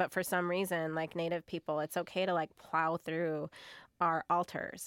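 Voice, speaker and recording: A woman with an American accent and a plain, everyday voice speaks at a fairly slow pace and a fairly low pitch. The recording is very clean with a silent background and a dry, close sound with no echo. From US Great Plains, Pine Ridge Reservation, South Dakota. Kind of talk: interview conversation.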